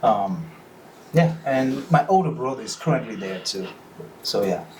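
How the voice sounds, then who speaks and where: A medium-pitched man with a West African accent at a moderate pace, with audible room echo. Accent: noticeable West African. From Benin. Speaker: freemason, lodge officer. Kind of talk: casual podcast interview.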